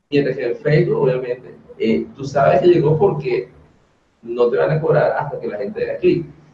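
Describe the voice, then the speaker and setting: A man's words at a moderate pace carry audible room echo. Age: 30s. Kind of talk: webinar presentation. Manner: animated.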